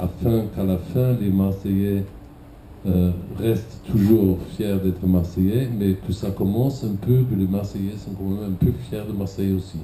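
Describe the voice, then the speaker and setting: A man with a German accent speaks slowly in a fairly low pitch with fairly even intonation. Audible room echo surrounds his voice. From Germany. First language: German (speaking French). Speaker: cultural event director. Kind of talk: conference talk.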